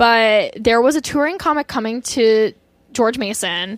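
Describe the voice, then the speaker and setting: Captured in a very clean recording with a silent background, the speaker has an American accent and ordinary pitch variation. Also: woman. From US West Coast, Orange County, Southern California. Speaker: comedian. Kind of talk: casual chat. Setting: studio.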